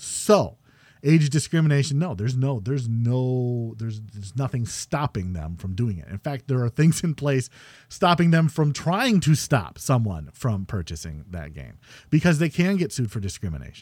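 A man speaks at a moderate pace and medium pitch, with very wide pitch swings and big swings in loudness, on a very clean recording with a silent background. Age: middle-aged. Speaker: podcast host. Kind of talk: casual chat. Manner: talkative.

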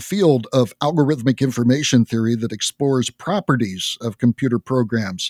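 An unremarkable speaking voice from a man, medium in pitch and fairly quick, in a very clean, silent recording with a dry, close sound and no echo. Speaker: podcast host. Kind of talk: interview.

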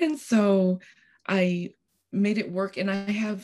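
Somewhat breathy, a woman's voice sits at a medium pitch with ordinary pitch variation. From Costa Rica. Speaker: piano teacher. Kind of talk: casual interview.

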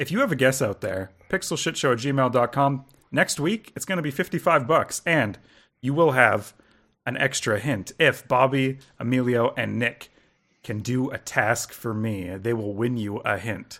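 In a very clean recording with a silent background, a man uses a normal speaking voice at a medium pitch, with lively intonation and a moderate pace. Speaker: podcast host. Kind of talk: casual chat.

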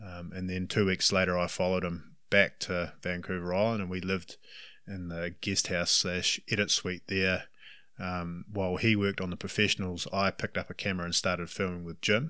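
A man with a New Zealand accent speaks at a fairly quick pace in a very deep, low pitch, his bright, sharp tone held in monotone, flat intonation on a very clean recording with a silent background. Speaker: hunting guide. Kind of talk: interview. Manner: talkative.

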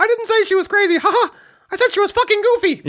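This is a put-on character voice with an extremely high pitch. It races along at a very fast pace. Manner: cartoonish.

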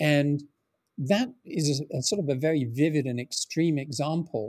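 On a very clean recording with a silent background, a man with an English accent speaks at a fairly slow pace in a fairly high pitch, his dark, mellow tone showing ordinary pitch variation in a dry, close sound with no echo. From England. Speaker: founder of a script preservation project. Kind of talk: interview conversation. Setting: call.

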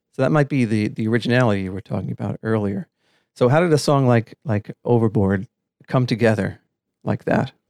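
An unremarkable speaking voice, this man's medium-pitched delivery with an American accent moves at a fairly quick pace with ordinary pitch variation over a quiet background. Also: dry, close sound with no echo. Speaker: podcast co-host. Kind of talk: podcast interview.

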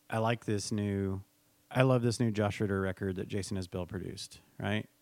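This man has an ordinary speaking voice and an American accent, pitched fairly low. He keeps a moderate pace with fairly even intonation. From Texas, San Antonio area. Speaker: music venue talent buyer. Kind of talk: interview. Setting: at the venue.

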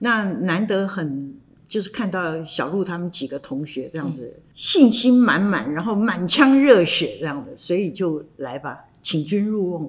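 A woman speaks at a fairly slow pace in a medium pitch, her voice swinging very widely in pitch and shifting a lot in loudness. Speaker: theatre costume designer. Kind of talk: casual interview chat.

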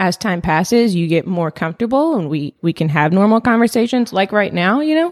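A woman speaks at a moderate pace in a medium pitch, with very wide pitch swings. The recording is very clean with a silent background and a dry, close sound with no echo. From US small town, born in Palestine. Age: 20s. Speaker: podcast guest. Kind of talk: casual chat.

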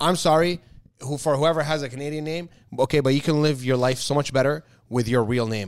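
This man talks at a fairly quick pace in an animated tone, with fairly high pitch and ordinary pitch variation. The recording is very clean, with a silent background. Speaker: podcast co-host. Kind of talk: casual chat. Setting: home, sitting on the floor.

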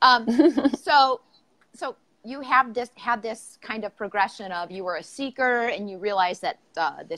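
Dry and close with no echo, a woman with an Upper Midwest accent speaks in a bright, sharp tone at a moderate pace with ordinary pitch variation. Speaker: podcast host. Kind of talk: casual interview. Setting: livestream video call. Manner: uses many filler words.

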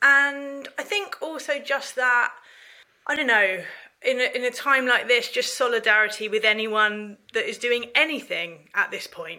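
A woman's high, bright, sharp voice at a fairly slow pace, with lively intonation and a southern English accent. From England, North London then Ramsgate, Kent. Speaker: charity managing director. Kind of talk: interview.

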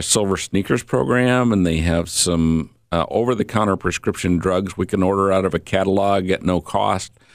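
On a very clean recording with a silent background, a man speaks at a fairly low pitch. His pace is moderate and his pitch varies in an ordinary way. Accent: Inland North. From Michiana area (northern Indiana / southwest Michigan), US Midwest. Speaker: health insurance and Medicare advisor. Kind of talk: radio interview.

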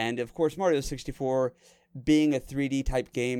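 A normal speaking voice moves at a fairly quick pace with fairly even intonation in a very clean recording with a silent background. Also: man. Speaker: podcast host. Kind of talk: casual chat. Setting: Discord call. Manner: joking, playful.

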